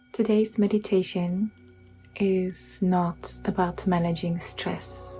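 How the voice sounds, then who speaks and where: With music in the background, a woman talks at a very slow pace. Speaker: meditation guide. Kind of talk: guided meditation. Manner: soft-spoken.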